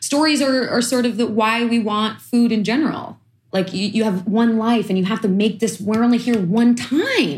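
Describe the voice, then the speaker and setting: A fairly high-pitched woman's voice, somewhat breathy, at a moderate pace with ordinary pitch variation. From East New York, Brooklyn. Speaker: chef and food activist. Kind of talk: interview conversation.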